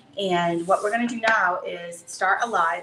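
A woman talks at a fairly quick pace with ordinary pitch variation, with audible room echo and light background noise. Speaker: craft studio owner hosting a live stream. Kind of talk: casual live-stream intro chat. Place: workshop. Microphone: camera far.

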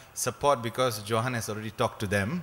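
A man speaks with a Malaysian accent. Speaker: human rights activist. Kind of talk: conference talk. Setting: stage with audience. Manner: halting, many repeated words; informal, joking. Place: hall. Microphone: podium.

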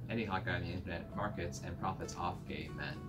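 A male voice moves at a fairly quick pace while music runs underneath. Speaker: video reviewer. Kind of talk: casual vlog chat, review commentary. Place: home room.

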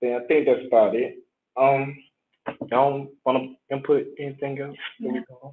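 Over light background noise, a man talks at a fairly slow pace in monotone, flat intonation, with long, frequent pauses. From Atlanta, Georgia; Georgia. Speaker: medical student; panelist. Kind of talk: panel discussion. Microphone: video call.

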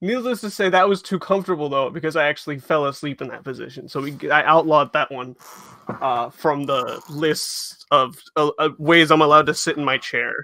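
Speech moves at a fairly quick pace. The pitch varies in an ordinary way. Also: man. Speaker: caller. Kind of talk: casual video call chat. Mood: playful, joking. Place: home room. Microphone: headset.

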